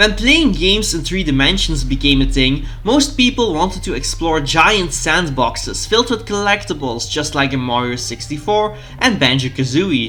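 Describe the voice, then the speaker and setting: A man speaks with a Dutch accent and hardly any pauses. The room echo is audible and the background noise is noticeable. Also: moderate pace. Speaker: gaming YouTuber. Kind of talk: video essay narration.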